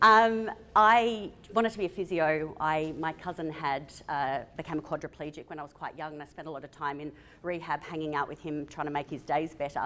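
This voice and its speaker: This woman has a very deep, low voice with a bright, sharp tone and an Australian accent, her pitch varying in an ordinary way while her loudness swings widely. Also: fairly quick pace. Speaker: physiotherapist. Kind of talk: conference talk. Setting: stage with audience.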